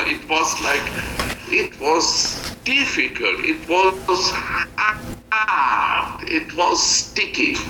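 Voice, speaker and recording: Noticeable background noise fills the recording. Through it comes a man's voice. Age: 60s. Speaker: missionary. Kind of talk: testimony. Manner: halting.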